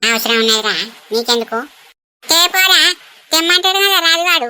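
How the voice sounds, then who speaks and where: In a cartoonish character voice, a woman speaks at an extremely high pitch and a moderate pace. Her pitch swings very widely. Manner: rustic, wheedling.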